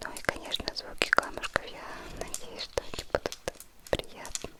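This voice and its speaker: A woman whispers at a fairly slow pace as noticeable background noise carries on. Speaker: ASMR creator. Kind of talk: ASMR whisper vlog to camera. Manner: soft-spoken, slow, calm.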